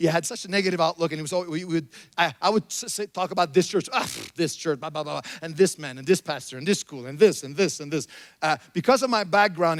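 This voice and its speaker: On a very clean recording with a silent background, a man speaks very fast in a French Canadian accent. His voice is fairly high, with ordinary pitch variation. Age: 50s. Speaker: pastor. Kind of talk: sermon.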